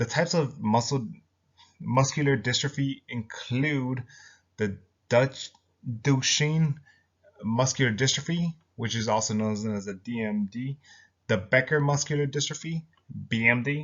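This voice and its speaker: Somewhat breathy, a man talks at a fairly slow pace, with long, frequent pauses. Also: medium pitch for a man, ordinary pitch variation. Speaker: student. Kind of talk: class presentation. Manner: halting.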